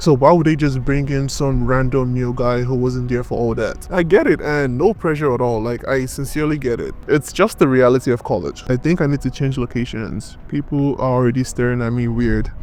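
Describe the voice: A man with a Nigerian accent speaks at a fairly quick pace with few pauses. His pitch is medium. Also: ordinary pitch variation.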